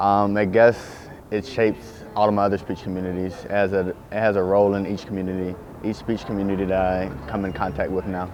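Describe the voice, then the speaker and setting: At a fairly quick pace, a man with a Southern US accent speaks with fairly low pitch and fairly even intonation. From US South. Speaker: student athlete. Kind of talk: interview answers.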